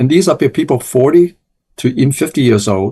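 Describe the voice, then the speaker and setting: A man with an American accent speaks fairly quickly in a somewhat breathy, medium-pitched voice with very wide pitch swings. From New York, Chinatown (born Hong Kong). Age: 70s. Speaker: eye doctor. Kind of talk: interview.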